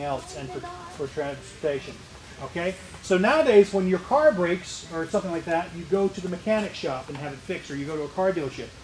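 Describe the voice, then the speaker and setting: Against noticeable background noise, a man with a high voice speaks at a very fast pace, with big swings in loudness and ordinary pitch variation. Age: 50s. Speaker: museum tour guide. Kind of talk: guided tour for school children.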